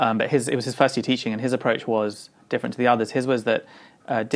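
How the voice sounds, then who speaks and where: In a London accent, a man talks at a medium pitch with fairly even intonation, and the recording is very clean with a silent background. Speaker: designer and architect. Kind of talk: interview. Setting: at home.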